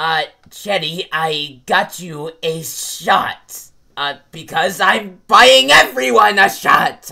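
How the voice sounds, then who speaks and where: Very slow delivery in a put-on character voice by a man, fairly high in pitch. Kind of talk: comic overacting. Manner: pompous, melodramatic, flustered.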